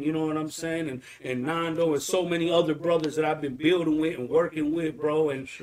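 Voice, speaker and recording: Very fast speech from a man with an American accent, fairly high in pitch, amid noticeable background noise. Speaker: podcast host. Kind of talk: casual chat, interview. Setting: live podcast, video. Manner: animated, casual, slangy.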